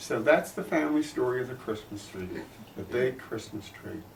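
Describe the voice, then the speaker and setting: A man in an American accent, with audible room echo. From US Northeast, Philadelphia. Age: 70s. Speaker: grandfather telling family history. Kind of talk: storytelling and interview answers.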